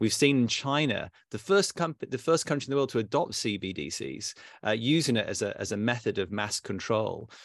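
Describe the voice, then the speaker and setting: With a British accent, a man talks at medium pitch on a very clean recording with a silent background. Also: lively intonation, moderate pace. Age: 50s. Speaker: fintech company founder. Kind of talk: interview. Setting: private club room.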